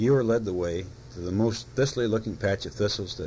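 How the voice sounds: With ordinary shifts in pitch, the speaker reads in a natural voice.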